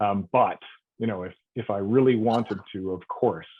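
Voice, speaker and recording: A man with a Canadian accent speaks at a fairly low pitch and a moderate pace, with ordinary pitch variation. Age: 50s. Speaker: resident giving testimony. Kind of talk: testimony. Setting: online hearing.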